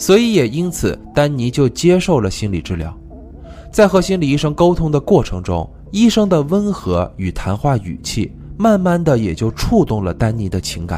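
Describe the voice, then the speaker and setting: Very wide pitch swings in a man's speech, with noticeable background noise behind. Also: moderate pace. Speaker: true crime podcast host. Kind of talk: storytelling narration.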